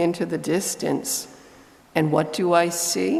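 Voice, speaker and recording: In a room with audible echo, a woman speaks very slowly in a fairly low pitch. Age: 60s. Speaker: lay reader at a church service. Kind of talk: reading aloud.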